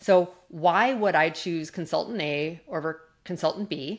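A woman with a Canadian accent talks at a fairly low pitch with ordinary pitch variation. It is an ordinary speaking voice. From Canada, Calgary. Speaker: corporate executive and speaker. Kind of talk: interview conversation.

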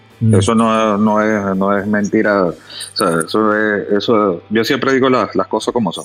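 A man's fairly low voice, fairly even in intonation, at a moderate pace. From Venezuela. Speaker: off-road outfitter. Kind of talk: podcast interview. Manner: halting, repeats words.

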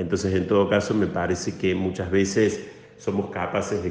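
A man speaks at a fairly slow pace with a very deep, low pitch. Audible room echo surrounds his voice. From Córdoba, Argentina. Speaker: priest. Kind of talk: interview. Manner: halting.

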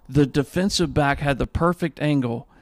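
A man's fairly high, ordinary speaking voice, an ordinary speaking voice at a moderate pace with ordinary pitch variation. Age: 40s. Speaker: podcast host. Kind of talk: casual chat.

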